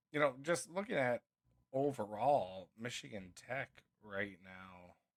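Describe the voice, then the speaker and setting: With a Minnesotan accent, a man speaks at a fairly slow pace, his medium pitch carried by lively intonation. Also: big swings in loudness. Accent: Minnesota. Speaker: sports podcast co-host. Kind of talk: casual sports chat.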